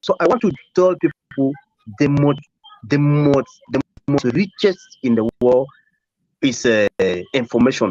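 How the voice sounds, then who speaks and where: With a French accent, the speech moves at a fairly slow pace with lively intonation, very even loudness, long, frequent pauses, and a dry, close sound with no echo. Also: man, fairly high pitch for a man. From Cameroon. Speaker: live stream participant. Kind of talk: testimony. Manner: halting.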